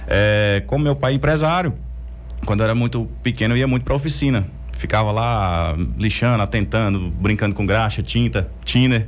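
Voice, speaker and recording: A man with a fairly low pitch talks at a moderate pace with very even loudness. His pitch swings very widely. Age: 30s. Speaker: entrepreneur. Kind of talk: interview.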